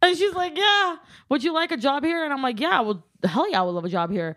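A woman with a Californian accent talks at a very fast pace. Her tone is energetic and her pitch swings very widely. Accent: Californian American English. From Southern California. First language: Armenian. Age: 20s. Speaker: social media content creator. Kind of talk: casual chat. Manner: talkative.

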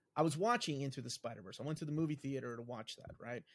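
With ordinary variation, this man's pitch sits fairly high. He moves along at a fairly quick pace. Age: 40s. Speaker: comic book YouTuber. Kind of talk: casual chat.

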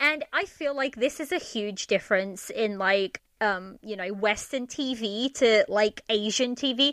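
At a fairly slow pace and with hardly any pauses, a woman with an unremarkable speaking voice talks at a fairly high pitch with ordinary pitch variation, in a dry, close sound with no echo. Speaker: podcaster, drama reviewer. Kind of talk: casual chat. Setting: remote recording.

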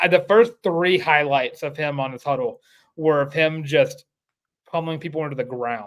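This man has an unremarkable speaking voice with a fairly high pitch. He talks at a moderate pace. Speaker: podcast host. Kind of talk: casual sports talk show. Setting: live stream.

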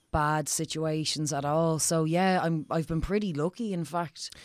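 A woman with an Irish accent speaks in a very deep, low voice with fairly even intonation, recorded very cleanly against a silent background. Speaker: comedian and actress. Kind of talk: casual chat.

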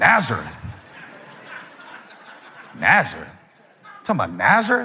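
A man talks in a put-on character voice, raspy and high-pitched. His pace is moderate. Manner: flat, robotic.

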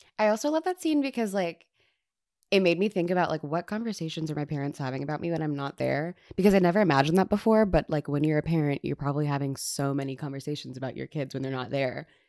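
A woman speaks very fast in a very deep, low voice with a dark, mellow tone, ordinary pitch variation and an American accent, on a very clean recording with a silent background and a dry, close sound with no echo. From Texas. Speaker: entertainment journalist. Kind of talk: casual chat. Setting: home studio.

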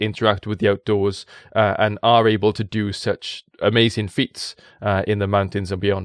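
With a South Wales accent, a man speaks at a moderate pace in a fairly low voice, the sound dry and close with no echo against a quiet background. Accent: South Wales Valleys. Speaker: science communicator and presenter. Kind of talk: casual interview chat. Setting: studio in Wales.

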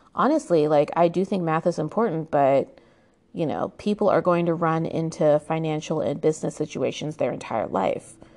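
A woman with an American accent and an ordinary speaking voice talks at a moderate pace, her fairly low pitch showing ordinary pitch variation. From United States. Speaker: history podcaster. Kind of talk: solo history narration. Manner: casual with frequent fillers and laughs.

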